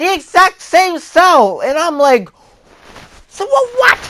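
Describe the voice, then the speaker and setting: A man projects his voice in a raised tone at an extremely high pitch. His intonation is lively while his pace stays fairly slow. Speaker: YouTube reviewer. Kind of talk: casual video review. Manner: halting, many restarts; animated, loud at times.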